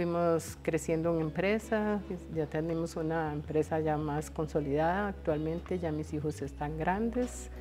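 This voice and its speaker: A woman with a Costa Rican accent talks at a fairly slow pace while music plays in the background. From Costa Rica, San José. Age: 60s. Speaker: cancer patient, former nurse. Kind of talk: testimony. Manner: halting.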